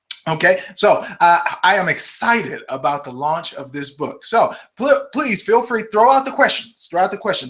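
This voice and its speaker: Over noticeable background noise, a man talks in an animated tone at a moderate pace, his pitch swinging very widely. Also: big swings in loudness. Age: 40s. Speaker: health author and livestream host. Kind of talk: live stream Q&A and book promotion. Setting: live video broadcast.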